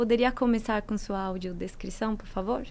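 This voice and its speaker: The speaker has a Colombian accent. The intonation stays fairly even. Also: woman. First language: Spanish (speaking Portuguese). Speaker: moderator, foundation studies manager. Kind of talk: moderated panel discussion.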